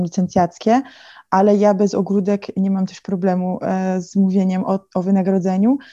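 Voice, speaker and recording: Against a quiet background, a woman talks at a moderate pace and medium pitch in a dark, mellow tone with monotone, flat intonation. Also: dry, close sound with no echo. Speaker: fashion digital consultant. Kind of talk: interview. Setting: video call.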